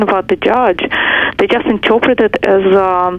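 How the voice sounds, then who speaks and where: Noticeable background noise is present throughout. The talking goes at a moderate pace. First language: not English. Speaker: caller. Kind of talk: phone-in call. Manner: halting.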